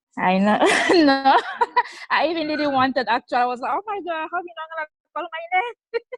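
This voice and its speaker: A woman with a non-native accent speaks fairly quickly in a high voice. Her pitch swings very widely, and she leaves long, frequent pauses. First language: not English. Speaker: program member. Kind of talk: testimony.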